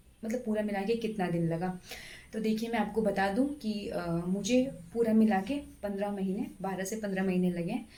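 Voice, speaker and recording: Her voice sits at a medium pitch with fairly even intonation, with audible room echo and noticeable background noise. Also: moderate pace. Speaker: government stenographer and exam-prep YouTuber. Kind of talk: exam strategy talk to camera. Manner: hesitant, many fillers.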